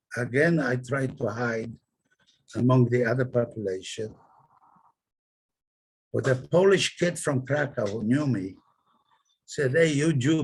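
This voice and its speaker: This man speaks at a fairly slow pace with long, frequent pauses. His voice sits at a medium pitch, somewhat breathy, with ordinary pitch variation. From Poland. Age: 90s. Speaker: Holocaust survivor. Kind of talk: testimony.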